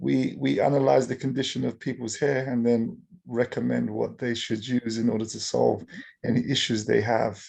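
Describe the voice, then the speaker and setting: This man speaks with an English accent. His pace is moderate. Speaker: startup founder. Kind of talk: audience question. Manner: halting, stammering.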